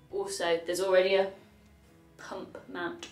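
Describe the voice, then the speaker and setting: A woman's voice with audible room echo and faint music in the background. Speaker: cycling vlogger. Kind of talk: casual vlog chat. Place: home room. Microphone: camera far.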